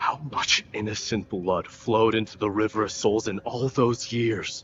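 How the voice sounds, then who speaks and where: A man puts on a character voice at a medium pitch. He keeps a moderate pace and fairly even intonation. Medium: video game. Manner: grave, intense.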